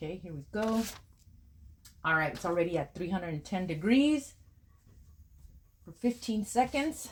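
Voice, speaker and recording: Somewhat breathy and medium in pitch, a woman speaks with long, frequent pauses. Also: moderate pace. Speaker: crafting YouTuber. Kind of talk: tutorial. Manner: casual, hesitant with fillers.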